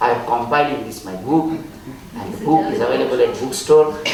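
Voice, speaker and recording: A man with an Indian accent speaks at a fairly high pitch. Noticeable background noise and audible room echo fill the recording. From India, Gujarat. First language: Gujarati or other Indian language. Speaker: spiritual speaker, author. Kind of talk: storytelling talk.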